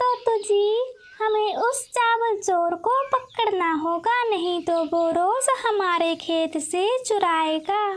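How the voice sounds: Putting on a cartoonish character voice, a woman talks at an extremely high pitch and a very slow pace with hardly any pauses.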